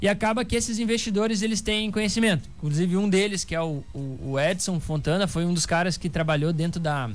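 A man speaks at a high pitch and a fairly quick pace. Audible room echo surrounds his voice. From Rio Grande do Sul, Brazil (Santa Rosa). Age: 20s. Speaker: startup founder. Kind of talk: casual interview.

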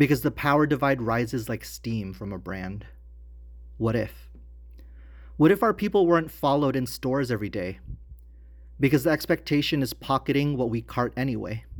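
The voice is animated, with lively intonation and vocal fry at a fairly quick pace, broken by long, frequent pauses. The recording is very clean, with a silent background. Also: man, medium pitch for a man. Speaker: student poet. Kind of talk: spoken-word poem performed with rhyme. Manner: rhythmic, emphatic, animated.

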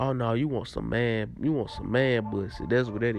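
Noticeable background noise fills the recording. The voice belongs to a man. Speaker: podcast host. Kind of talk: radio DJ-style patter, hyped-up casual rant. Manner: high-energy, animated, hyped; conversational, opinionated, repeats for emphasis.

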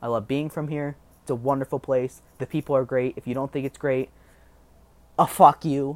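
A man speaks at a moderate pace in a fairly high, flat, monotone voice. The sound is dry and close with no echo, broken by long, frequent pauses. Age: 20s. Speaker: podcast host. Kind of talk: casual monologue. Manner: halting.

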